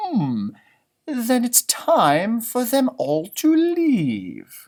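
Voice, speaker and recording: A man's put-on character voice at an extremely high pitch, very slow pace, in a very clean recording with a silent background. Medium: read story. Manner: calm, knowing.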